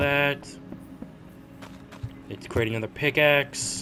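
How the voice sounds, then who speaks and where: A man's fairly high-pitched voice with music in the background. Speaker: gaming youtuber. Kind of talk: gameplay commentary.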